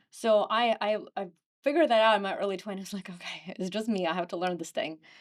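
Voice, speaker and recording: A woman talks very fast with a Ukrainian accent. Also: medium pitch for a woman, ordinary pitch variation. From Ukraine. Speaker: real estate agent. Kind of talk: podcast interview.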